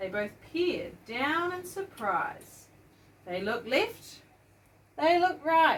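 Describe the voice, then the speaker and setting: This woman speaks with a New Zealand accent. Her high voice swings very widely in pitch. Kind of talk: bedtime children's story reading.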